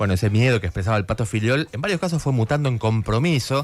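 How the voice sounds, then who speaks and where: Intonation here is lively. The words come at a very fast pace. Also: man. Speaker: radio panelist. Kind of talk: radio segment presentation.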